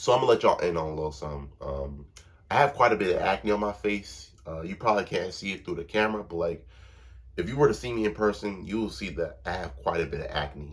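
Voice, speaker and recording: The voice is somewhat breathy, with lively intonation at a very fast pace. The recording is very clean, with a silent background. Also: man, fairly low pitch for a man. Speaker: vlogger. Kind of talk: casual monologue to camera. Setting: recorded to camera. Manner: casual, slang-heavy.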